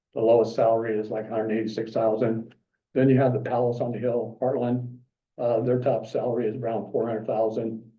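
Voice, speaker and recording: Somewhat breathy and very fast, a man with a southern Nebraska accent speaks at a medium pitch in a monotone, flat intonation, with audible room echo. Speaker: member of the public at a city council meeting. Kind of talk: public comment. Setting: city commission meeting. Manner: halting, many fillers.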